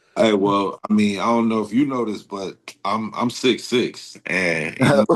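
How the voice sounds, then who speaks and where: Speaking at a moderate pace in a normal speaking voice, a man with an American accent has a fairly low pitch and ordinary pitch variation. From Texas, Houston. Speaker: rapper. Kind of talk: casual chat. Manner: casual, filler-heavy.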